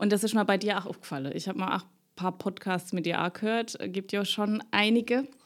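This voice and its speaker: At a moderate pace, a woman speaks at a medium pitch with vocal fry. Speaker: podcast host. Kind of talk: casual interview.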